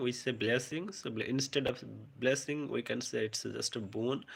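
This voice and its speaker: On a very clean recording with total silence behind it, the talking holds a moderate pace. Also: man. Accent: Bengali. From India, West Bengal. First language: Bengali. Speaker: English teacher. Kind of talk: live stream vocabulary class. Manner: halting.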